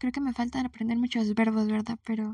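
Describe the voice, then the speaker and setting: The dark, mellow voice comes through with a dry, close sound and no echo. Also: woman. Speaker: podcast host. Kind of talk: solo monologue. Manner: spontaneous, hesitant.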